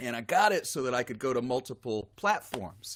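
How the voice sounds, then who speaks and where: A man speaks at a moderate pace. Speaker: singer-songwriter and guitarist hosting a live stream. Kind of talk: live stream interview chat. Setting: live stream video call. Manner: soft-spoken.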